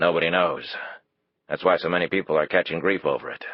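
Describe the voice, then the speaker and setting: A man does a put-on character voice, raspy and very deep in pitch. He rattles along at a very fast pace. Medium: read story. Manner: folksy, blunt.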